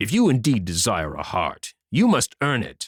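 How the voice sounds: In a gruff, put-on character voice of medium pitch, a man speaks at a moderate pace on a very clean recording with a silent background.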